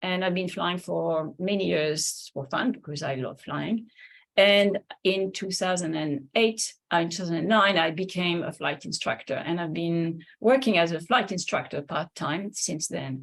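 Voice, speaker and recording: In a French accent, a woman with a fairly low pitch and ordinary pitch variation speaks at a moderate pace on a very clean recording with a silent background. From France. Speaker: linguist and flight instructor. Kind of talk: lecture. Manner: halting.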